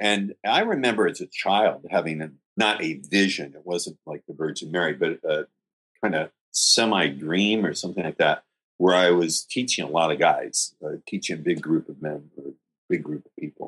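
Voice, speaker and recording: A man speaks at a moderate pace with big swings in loudness. The sound is dry and close, without echo. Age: 50s. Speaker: dating coach. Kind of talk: interview.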